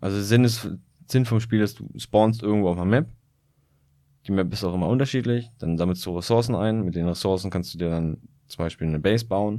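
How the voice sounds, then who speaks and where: A man with a dark, mellow, fairly low voice talks at a fairly quick pace, with ordinary pitch variation and long, frequent pauses. The recording is very clean, with a silent background. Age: 20s. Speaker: podcast co-host. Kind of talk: casual chat. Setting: small room with poor sound dampening.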